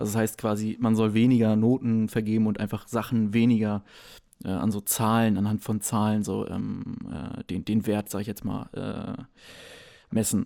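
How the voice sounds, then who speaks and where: Recorded very cleanly against a silent background, a man with a fairly low pitch speaks in a dark, mellow tone with fairly even intonation. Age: 20s. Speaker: podcast co-host. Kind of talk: casual chat.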